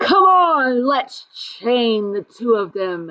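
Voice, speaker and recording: In a put-on character voice, a woman with a high pitch speaks very slowly with very wide pitch swings. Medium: read story.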